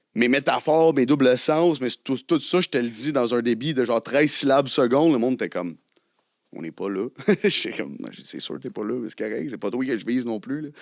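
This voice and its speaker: A man's medium-pitched voice with vocal fry, lively intonation, big swings in loudness and a fairly quick pace, recorded dry and close with no echo. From Quebec, Côte-Nord. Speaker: rapper. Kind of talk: casual chat.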